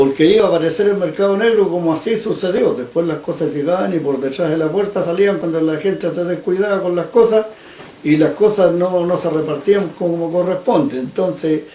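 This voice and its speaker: A man at a fairly quick pace, high in pitch, with ordinary pitch variation over noticeable background noise. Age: 70s. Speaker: neighborhood association president. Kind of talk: interview testimony.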